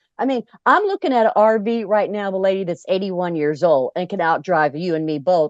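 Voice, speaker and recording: An ordinary speaking voice at a fairly quick pace with lively intonation and a dry, close sound, no echo. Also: woman. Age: 60s. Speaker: club founder and RVer. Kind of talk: interview. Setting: RV.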